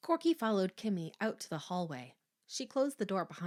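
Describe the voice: Over a quiet background, the plain reading aloud has lively intonation.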